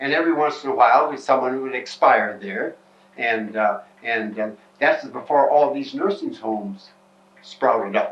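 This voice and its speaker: A man at medium pitch with an American accent, lively intonation and a moderate pace, with noticeable background noise. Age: 80s+. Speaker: retired nurse's aide, funeral home worker. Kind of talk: oral history interview. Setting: at home.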